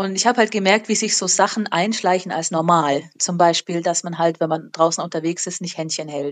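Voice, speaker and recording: This woman has a normal speaking voice, fairly low in pitch, with ordinary pitch variation, a moderate pace and hardly any pauses. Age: 30s. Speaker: school teacher. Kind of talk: casual interview. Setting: remote call.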